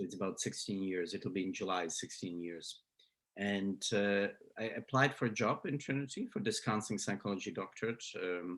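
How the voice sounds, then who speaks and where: A man speaks with a Slovak accent. His voice sits at a fairly low pitch. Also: ordinary pitch variation, moderate pace. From Slovakia. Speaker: psychology professor. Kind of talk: interview. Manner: halting, many fillers and repeats.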